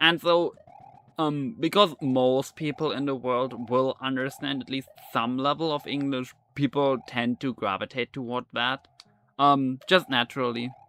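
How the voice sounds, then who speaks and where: At a fairly slow pace, a man with a German accent speaks at medium pitch with fairly even intonation. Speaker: gaming streamer. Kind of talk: casual chat. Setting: live stream. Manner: halting, many fillers.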